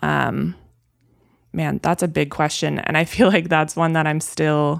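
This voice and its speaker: In an American accent, a woman talks at a moderate pace on a very clean recording with a silent background. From Wisconsin, Milwaukee. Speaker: photographer. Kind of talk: casual chat.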